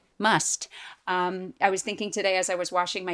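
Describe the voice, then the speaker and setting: In an American accent, a woman speaks at a medium pitch and a fairly quick pace with an ordinary speaking voice, recorded very cleanly with a dry, close sound, no echo and a silent background. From Boston, US. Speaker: Broadway actor. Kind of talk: casual chat.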